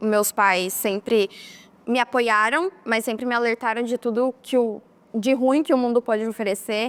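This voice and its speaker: A woman with an unremarkable speaking voice and fairly high pitch talks fairly slowly with fairly even intonation, in a dry, close sound with no echo. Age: young. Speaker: documentary interviewee. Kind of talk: testimony.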